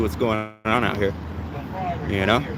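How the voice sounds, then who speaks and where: With an American accent, a man speaks amid audible room echo and noticeable background noise. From San Diego, California. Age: 40s. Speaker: copwatch videographer. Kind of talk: street conversation. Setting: outdoors on the street.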